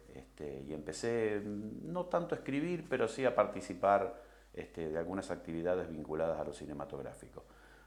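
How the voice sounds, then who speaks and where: Pitched fairly low, a man swings very widely in pitch at a fairly quick pace. Audible room echo surrounds his voice. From Argentina, Rosario. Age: 60s. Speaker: film director. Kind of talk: interview. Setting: recorded interview. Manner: hesitant, many fillers.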